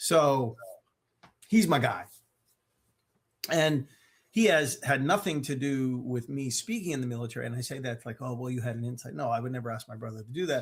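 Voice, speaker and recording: A somewhat breathy man of medium pitch, fairly quick in pace, with ordinary pitch variation, big swings in loudness, and long, frequent pauses. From US, Maryland. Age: 60s. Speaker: mental health speaker. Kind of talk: interview.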